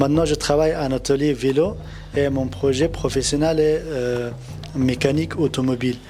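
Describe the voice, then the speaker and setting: This man's voice sits fairly high, with ordinary pitch variation. Noticeable background noise runs behind him. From Afghanistan. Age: 20s. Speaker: refugee, trainee mechanic. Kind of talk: testimony. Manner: halting, hesitant.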